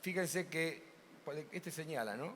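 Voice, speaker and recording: A man's high-pitched voice moves along at a fairly slow pace. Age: 70s. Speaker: ophthalmic surgeon. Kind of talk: conference talk.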